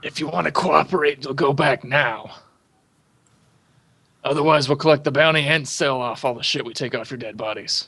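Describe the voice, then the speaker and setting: Someone does a raspy put-on character voice. The pace is moderate, with long, frequent pauses. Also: man, fairly high pitch for a man. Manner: threatening.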